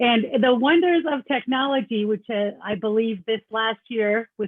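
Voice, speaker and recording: A woman with a slight Canadian accent, fairly high in pitch, at a moderate pace with ordinary pitch variation. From Canada. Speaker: accountant. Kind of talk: presentation. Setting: video call.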